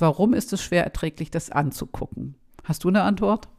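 The speaker has an ordinary speaking voice at a moderate pace. The recording is very clean, with a silent background. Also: woman. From Schleswig-Holstein, northern Germany. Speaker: podcast host, academic. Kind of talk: interview conversation.

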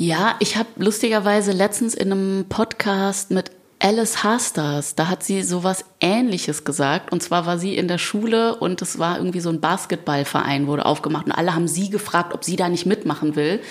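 Noticeable background noise behind a woman's moderately paced speech with hardly any pauses. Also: medium pitch for a woman, ordinary pitch variation. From Germany. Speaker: singer. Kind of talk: interview chat. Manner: animated.

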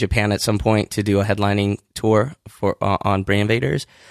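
A fairly low-pitched man with a West Coast accent at a moderate pace, a dry, close sound with no echo, and a quiet background. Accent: general American, West Coast. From Southern California, born in Iran. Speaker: rock singer and rapper. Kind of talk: casual interview. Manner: halting, many fillers.

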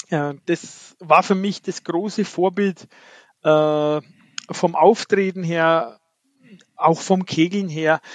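Speaking very slowly, a man with a high voice takes long, frequent pauses. His intonation is fairly even, and the sound is dry and close with no echo. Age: 50s. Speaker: ninepin bowler and national team coach. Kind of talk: interview.

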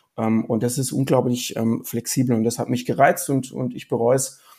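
The recording is very clean with a silent background. A man speaks at a medium pitch in a dark, mellow tone, at a moderate pace with fairly even intonation. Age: 40s. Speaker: lawyer specializing in health and pharma law. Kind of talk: interview. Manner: hesitant, many filler sounds.

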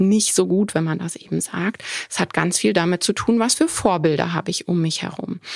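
Speaking in a normal speaking voice, a woman talks at a moderate pace with medium pitch and ordinary pitch variation. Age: 40s. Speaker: veterinarian and dog trainer, podcast host. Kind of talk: solo podcast talk. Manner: casual with frequent filler sounds.

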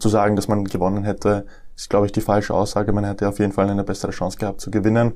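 A man's fairly low, dark and mellow voice, flat and monotone, at a very fast pace. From Austria, Lower Austria. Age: 20s. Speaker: professional tennis player. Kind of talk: interview. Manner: hesitant, many fillers.

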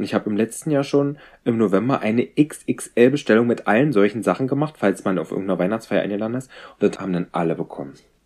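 Talking at a very fast pace, a man uses an animated tone and lively intonation at a medium pitch. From rural Germany. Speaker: podcast co-host and horse owner. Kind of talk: casual chat.

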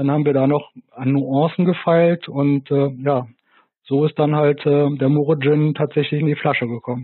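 Delivered at a moderate pace, a man's fairly high voice holds very even loudness and a monotone, flat intonation. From Rhineland, near Bonn. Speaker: gin producer. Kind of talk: interview. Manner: halting.

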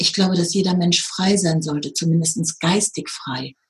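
This woman has an ordinary speaking voice, fairly low in pitch with ordinary pitch variation, and she talks at a moderate pace. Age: 50s. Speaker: spiritual teacher and medium. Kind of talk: interview.

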